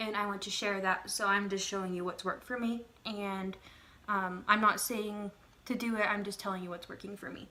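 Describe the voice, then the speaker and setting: Her medium-pitched voice flat and monotone, a woman with an American accent talks at a fairly quick pace. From Texas. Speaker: YouTuber. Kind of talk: casual vlog monologue. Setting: at home by her desk.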